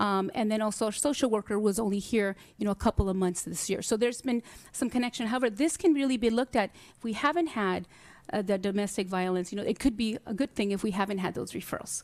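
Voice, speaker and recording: Very fast and fairly high for a woman, her voice shows ordinary pitch variation. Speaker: school district administrator presenting to board. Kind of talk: board meeting presentation. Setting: hybrid school board meeting.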